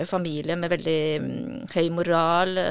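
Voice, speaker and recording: A woman with a fairly low pitch speaks with fairly even intonation. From Norway, adopted from South Korea as a child. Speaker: author and psychiatric nurse. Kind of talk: interview conversation. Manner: halting.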